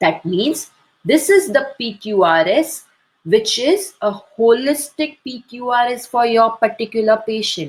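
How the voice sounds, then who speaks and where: A woman with a fairly high voice speaks fairly slowly, her pitch swinging very widely. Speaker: homeopathy doctor and teacher. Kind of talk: webinar lecture. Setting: online webinar. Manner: slow, deliberate.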